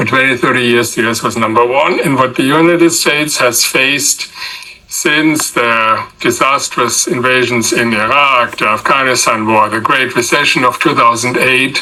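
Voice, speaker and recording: A man with a medium pitch at a moderate pace, with fairly even intonation and very even loudness, against noticeable background noise. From Germany. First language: German. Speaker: political science professor. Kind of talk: interview.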